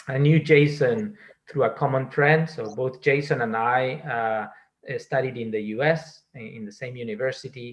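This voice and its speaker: A man's somewhat breathy voice at medium pitch, with a Spanish accent. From Spain. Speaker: data science executive. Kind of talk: interview. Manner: halting, many fillers and repetitions.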